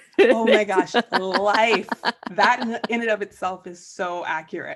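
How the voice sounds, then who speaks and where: A woman speaks at a medium pitch and a fairly slow pace. Her tone is animated, with big swings in loudness. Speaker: podcast host. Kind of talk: casual chat.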